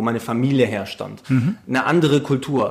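Medium in pitch, a man's voice is heard. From Hamburg, northern Germany. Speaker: podcast host. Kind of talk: casual interview.

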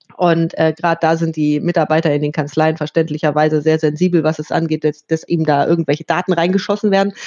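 A woman talks at a fairly quick pace and a fairly low pitch. She has a plain, everyday voice. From northern Germany, Hannover. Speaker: tax software company representative. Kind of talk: interview.

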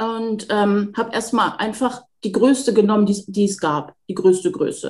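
A woman with a fairly high pitch speaks at a fairly slow pace, her voice somewhat breathy and her pitch varying in an ordinary way. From northern Germany, near Hamburg. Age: 40s. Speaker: home sewing hobbyist. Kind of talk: casual interview chat. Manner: halting, many fillers.

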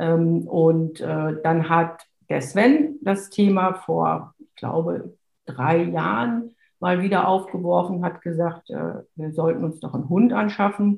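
A woman speaks very slowly at a fairly low pitch, somewhat breathy, with big swings in loudness. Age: 50s. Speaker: lawyer and dog owner. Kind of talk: interview. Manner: hesitant, many fillers.

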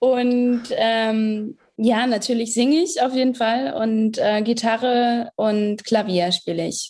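Speaking very slowly with hardly any pauses, a woman uses a fairly high pitch and ordinary pitch variation. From northern Germany, Hamburg area. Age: 20s. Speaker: singer-songwriter. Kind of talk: interview.

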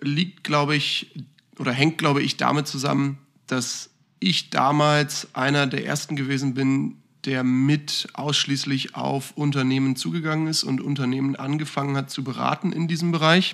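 At a moderate pace, a man speaks in a normal speaking voice, fairly high in pitch, with fairly even intonation. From northern Germany, Hamburg. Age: 20s. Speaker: financial consultant and managing director. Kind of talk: casual podcast interview.

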